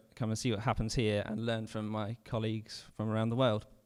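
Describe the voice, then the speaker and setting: Very fast speech with a British accent and monotone, flat intonation, on a very clean recording with a silent background. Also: man. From United Kingdom. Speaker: urban forester. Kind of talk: presentation talk. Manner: halting, with fillers.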